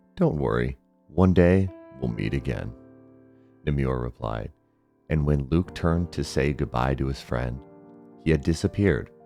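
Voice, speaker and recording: With music behind him, a man with a very deep, low voice speaks at a moderate pace, using ordinary pitch variation and long, frequent pauses. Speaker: storyteller. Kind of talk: bedtime story.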